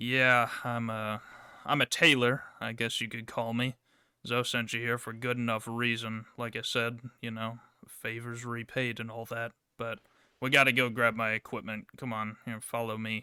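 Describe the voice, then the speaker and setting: At a moderate pace, a man does a gruff put-on character voice at medium pitch, with monotone, flat intonation. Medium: actual play.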